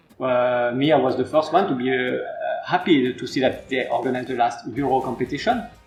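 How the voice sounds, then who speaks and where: Over music in the background, a man with a French accent speaks at medium pitch and a fairly quick pace, his intonation fairly even. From France. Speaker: football academy coach. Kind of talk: interview. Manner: halting.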